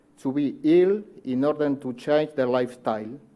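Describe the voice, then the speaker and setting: A man's fairly high-pitched voice, dark and mellow in tone, with a Uruguayan accent, lively intonation and a moderate pace. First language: Spanish. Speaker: cardiologist. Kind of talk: conference talk. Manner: formal; halting.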